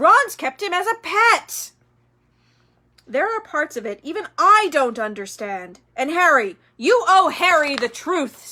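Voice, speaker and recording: A woman uses a put-on character voice at an extremely high pitch, raised and projected. She moves at a fairly slow pace with very wide pitch swings. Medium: read story. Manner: calm, measured.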